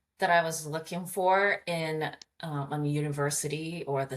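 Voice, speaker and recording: A woman speaks with a Japanese accent at a very deep, low pitch. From Japan (Hamamatsu). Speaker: communications coach. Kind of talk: interview conversation.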